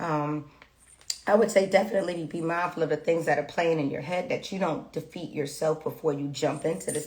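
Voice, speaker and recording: Over noticeable background noise, a woman with a fairly low-pitched voice speaks with ordinary pitch variation. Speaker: tarot reader. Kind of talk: tarot reading livestream. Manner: fast.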